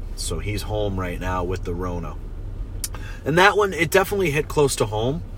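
An American-accented man talks in an animated tone at a moderate pace, with long, frequent pauses and noticeable background noise. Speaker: podcast host. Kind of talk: angry rant about COVID restrictions, heated, profane, fed-up monologue.

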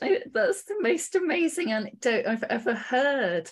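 A woman's voice over noticeable background noise. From Sheffield, northern England. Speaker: library staff podcast host. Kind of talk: interview.

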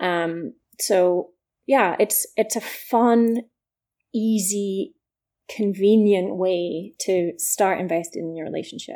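A woman with a Scottish accent speaks at a very slow pace with ordinary pitch variation. The recording is very clean, with a silent background. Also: medium pitch for a woman. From east coast of Scotland. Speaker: startup founder. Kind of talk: interview.

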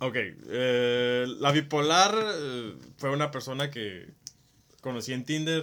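With a bright, sharp tone, a man speaks at a very slow pace and a medium pitch. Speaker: podcast co-host. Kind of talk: casual chat.

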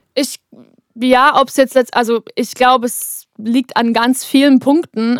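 A woman with a normal speaking voice, pitched fairly high, talks with fairly even intonation in a dry, close sound with no echo. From Bavaria, Germany. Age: 20s. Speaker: singer and songwriter. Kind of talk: interview, casual chat. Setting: vocal booth in a recording studio.

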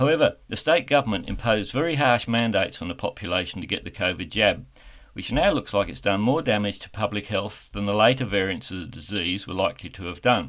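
Talking at a very fast pace with an Australian accent, a man uses a fairly low pitch, lively intonation and big swings in loudness. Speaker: radio host. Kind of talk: radio interview. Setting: online interview.

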